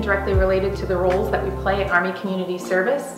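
A woman speaks with clear music in the background. Audible room echo surrounds her voice. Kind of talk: interview answer. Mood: earnest, admiring.

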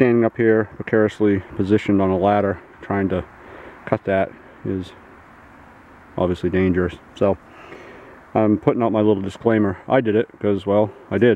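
The speaker uses a monotone, flat intonation at a moderate pace with long, frequent pauses, in a dry sound with no echo and light background noise. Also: man, fairly low pitch for a man. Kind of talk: tutorial. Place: forest. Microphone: phone near.

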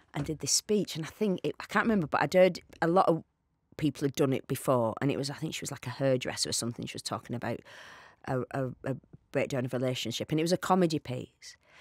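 A woman's very deep, low voice with a northern English accent, very fast and lively in intonation, dry with no echo against a quiet background. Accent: regional northern English. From England. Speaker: actor. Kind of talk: podcast interview answer. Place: studio. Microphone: studio mic.

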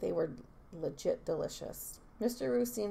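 A text is being read aloud. The delivery is in a natural voice.

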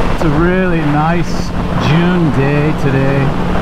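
Very slow speech comes through loud background noise in a dry sound with no echo. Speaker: motorcycle vlogger. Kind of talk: casual vlog chat. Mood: relaxed, joking. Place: motorbike. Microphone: helmet.

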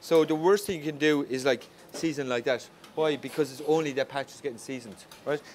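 The speech is very fast and animated, in an Irish accent with ordinary pitch variation. Loudness swings widely over noticeable background noise. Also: man, fairly high pitch for a man. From Ireland. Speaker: chef. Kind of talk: cooking class demonstration. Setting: restaurant kitchen in full operation.

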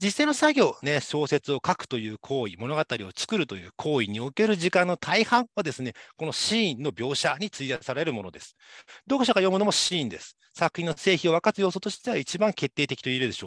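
Over a quiet background, a man with vocal fry speaks at a fairly high pitch, his voice swinging very widely in pitch. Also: dry sound with no echo. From Japan, Saitama. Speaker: university lecturer. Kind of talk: lecture. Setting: online class. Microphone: webcam.

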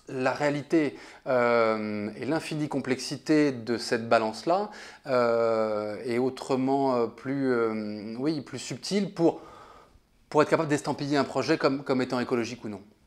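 His pitch is medium for a man, varying in an ordinary way. He talks very slowly. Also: quiet background. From France. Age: 30s. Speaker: designer; interviewee. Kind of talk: interview. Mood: thoughtful, relaxed. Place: home room. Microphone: lapel.

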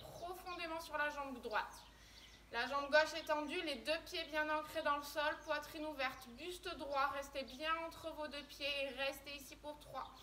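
A raised, projected, monotone voice at a fairly slow pace over light background noise. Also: woman. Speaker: fitness instructor. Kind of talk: workout instruction. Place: garden. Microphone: camera far.

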